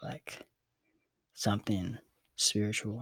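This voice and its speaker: A soft-spoken man talks in a relaxed tone at a fairly low pitch. His voice is somewhat breathy. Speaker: ASMR creator. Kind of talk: ASMR storytelling to camera, casual and unscripted. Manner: soft-spoken, relaxed, conversational.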